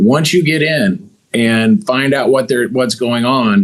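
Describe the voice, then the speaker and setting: A man with an American accent and a normal speaking voice talks at medium pitch with lively intonation. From Missouri. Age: 50s. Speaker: business owner. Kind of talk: interview.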